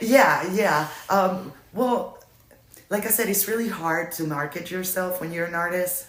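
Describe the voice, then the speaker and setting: A woman at medium pitch, fairly slow, with ordinary pitch variation and noticeable background noise. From Puerto Rico. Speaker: photographer and writer. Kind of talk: interview answer.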